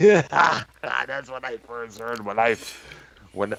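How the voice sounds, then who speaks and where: This man has an American accent and a medium pitch with ordinary pitch variation. There is noticeable background noise behind him. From Michigan, Detroit area. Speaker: podcast host. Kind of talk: casual chat. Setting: live stream. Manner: halting.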